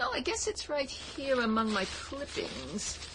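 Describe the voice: In a put-on character voice, a woman speaks at a fairly slow pace with a high pitch and very wide pitch swings. Clear background noise can be heard.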